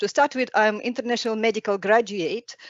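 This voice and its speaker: A woman with a non-native accent and a fairly high pitch. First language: not English. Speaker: specialty doctor in intensive care. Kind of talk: webinar talk. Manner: halting.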